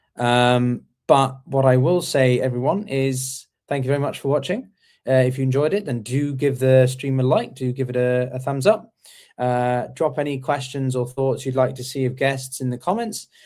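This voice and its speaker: A man with an English accent is heard in a very clean recording with a silent background. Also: medium pitch for a man, ordinary pitch variation, moderate pace. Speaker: interview show host. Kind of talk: casual chat. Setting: live stream. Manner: halting, many fillers.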